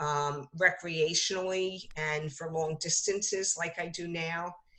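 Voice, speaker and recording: Speaking at a very slow pace, a woman uses a fairly low pitch with a bright, sharp tone and ordinary pitch variation. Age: 60s. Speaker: author. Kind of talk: interview. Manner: halting, many fillers.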